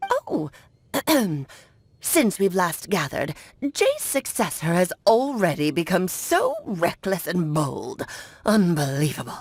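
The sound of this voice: Woman in a put-on character voice, medium pitch, fairly slow pace and long, frequent pauses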